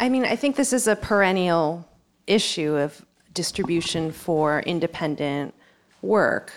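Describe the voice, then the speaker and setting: A woman with a plain, everyday voice speaks at a fairly low pitch and a fairly slow pace, her intonation lively and her loudness very even, in a very clean recording with a silent background. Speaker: professor. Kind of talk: live panel discussion.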